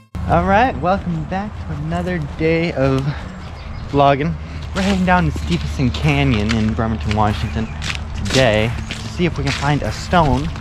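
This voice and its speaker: Noticeable background noise surrounds a man whose pitch is very deep and low. He speaks at a moderate pace, and the sound is dry with no echo. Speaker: vlogger. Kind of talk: casual vlog chat. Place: open country. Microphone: phone near.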